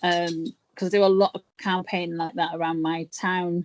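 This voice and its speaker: A woman with an English accent and a fairly low pitch speaks with fairly even intonation in a dry, close sound with no echo. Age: 50s. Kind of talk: interview.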